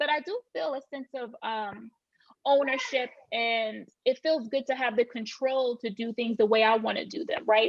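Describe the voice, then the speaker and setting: A woman talks in a Southern accent at a high pitch. Her pitch variation is ordinary. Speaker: real estate agent. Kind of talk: podcast interview.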